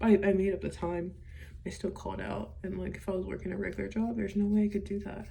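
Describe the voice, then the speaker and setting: A woman at a very fast pace, with noticeable background noise and audible room echo. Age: 20s. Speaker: vlogger. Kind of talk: personal vlog monologue. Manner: halting.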